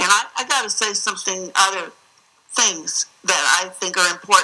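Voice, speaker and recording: Here is an ordinary speaking voice, a woman with an American accent at a medium pitch. She talks at a moderate pace with ordinary pitch variation. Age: 60s. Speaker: state senator testifying as witness. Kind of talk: hearing testimony. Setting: regulatory hearing room.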